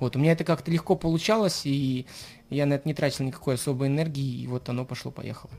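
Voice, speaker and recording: At a very fast pace, a man speaks in a fairly high, somewhat breathy voice with ordinary pitch variation. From Saint Petersburg, Russia. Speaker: rapper. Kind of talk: radio interview.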